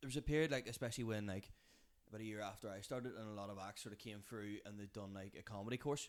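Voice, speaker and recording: Talking at a very fast pace, a man has a Belfast accent. His pitch is fairly low and his intonation fairly even. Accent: Belfast Northern Irish. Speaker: comedian. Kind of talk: casual chat. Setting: kitchen.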